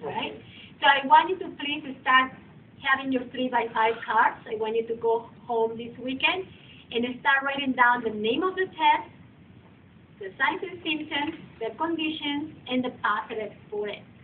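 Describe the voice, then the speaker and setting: A woman with a non-native accent speaks at a fairly slow pace and high pitch. Her intonation is lively, and her loudness swings widely. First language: not English. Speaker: massage therapy instructor. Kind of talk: lecture.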